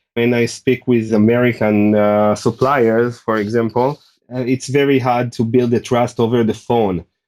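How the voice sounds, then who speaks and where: At a moderate pace, a man with a non-native accent speaks at a medium pitch in a monotone, flat intonation with very even loudness, on a very clean recording with a silent background. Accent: foreign. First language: not English. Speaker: ecommerce seller. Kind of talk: podcast interview. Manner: halting, many fillers.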